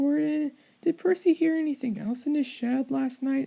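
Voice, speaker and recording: A high-pitched, put-on character voice delivered at a moderate pace. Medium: read story.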